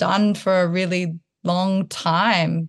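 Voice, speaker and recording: A woman speaks at a medium pitch with a slight rural Australian accent. The background is quiet. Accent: Australian, slight country twang. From Townsville, Australia. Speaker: artist and choreographer. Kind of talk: interview conversation.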